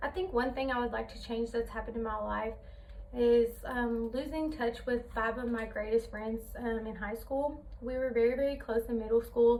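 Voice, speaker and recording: Over noticeable background noise, a woman with a high pitch speaks with fairly even intonation. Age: 20s. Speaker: college student. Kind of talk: class presentation speech. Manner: hesitant, many fillers.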